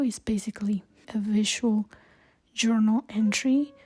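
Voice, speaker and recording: A fairly slow delivery with fairly even intonation. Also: woman. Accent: Spanish. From Colombia. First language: Spanish. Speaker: travel vlogger. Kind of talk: vlog monologue. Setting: hostel.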